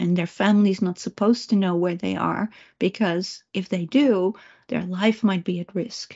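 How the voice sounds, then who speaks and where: A woman speaks with a Dutch accent at a medium pitch. Her pace is fairly slow and her intonation fairly even. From Netherlands. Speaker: remote viewer and psychic trainer. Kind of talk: presentation talk. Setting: video call.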